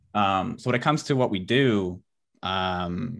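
On a very clean recording with a silent background, a man speaks with a Western Canadian accent. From Canada, British Columbia (Abbotsford). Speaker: online entrepreneur. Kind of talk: interview.

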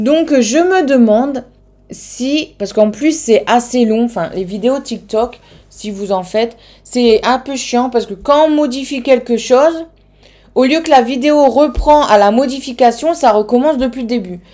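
A woman with a northern French accent, high in pitch, with ordinary pitch variation and a fairly slow pace. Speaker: K-pop podcast host. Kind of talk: solo podcast monologue. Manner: hesitant, many fillers.

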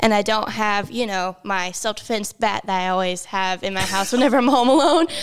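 A normal speaking voice from a woman with an American accent, medium in pitch, at a fairly quick pace with ordinary pitch variation and hardly any pauses. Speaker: podcast co-host. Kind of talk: casual chat.

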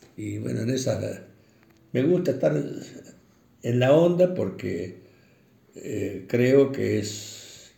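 A man speaks at a very slow pace, leaving long, frequent pauses, with audible echo in the room. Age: 80s+. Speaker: retired bank employee, interviewee. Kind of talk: interview. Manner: halting, many fillers.

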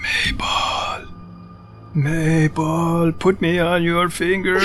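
A man's high-pitched put-on character voice at a very slow pace, with clear music in the background. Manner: evil, tempting.

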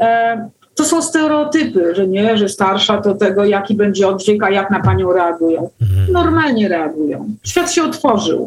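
A woman's pitch swings very widely. Her loudness stays very even. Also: medium pitch for a woman, moderate pace. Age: 50s. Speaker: artist and fashion blogger. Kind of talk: casual interview. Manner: talkative.

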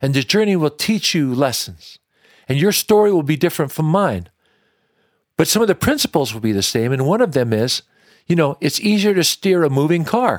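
Very wide pitch swings and a fairly quick pace in an American accent, with a dry, close sound free of echo and a very clean recording against a silent background. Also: man, fairly high pitch for a man. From Washington State, US. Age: 60s. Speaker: country singer-songwriter. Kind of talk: interview conversation. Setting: supper club venue.

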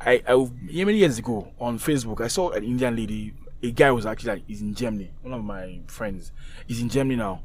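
A man talks at a very fast pace in a medium pitch. Audible room echo is present. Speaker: podcast co-host. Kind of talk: casual chat.

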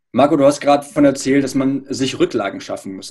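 This man talks at a very fast pace with a fairly high pitch and ordinary pitch variation. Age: 30s. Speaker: podcast host. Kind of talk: interview.

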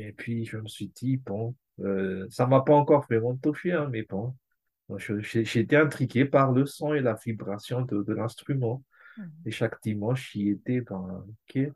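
A man talks at a very slow pace in a somewhat breathy, medium-pitched voice with ordinary pitch variation and big swings in loudness. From Madagascar. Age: 40s. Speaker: amateur cellist. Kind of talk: casual interview.

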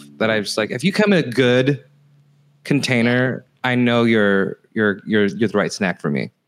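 In a plain, everyday voice, a man with an American accent speaks at a moderate pace and medium pitch with lively intonation. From California. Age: 40s. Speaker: comedian. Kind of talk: casual chat. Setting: at home, remote call.

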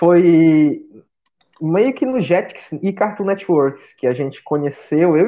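The man speaks with a fairly high pitch. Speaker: podcast guest. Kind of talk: casual chat.

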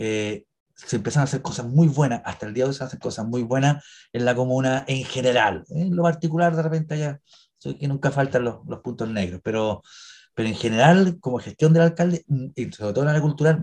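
A man's medium-pitched, dark and mellow voice, somewhat breathy, with ordinary pitch variation and a fairly quick pace. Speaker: actor and cemetery tour guide. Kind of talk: interview. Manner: halting.

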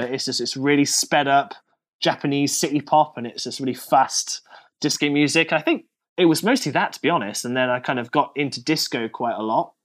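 This man speaks in a British accent. His pitch is fairly high and his pace fairly quick. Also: very clean recording, silent background. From Britain. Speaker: DJ and radio host. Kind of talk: casual chat.

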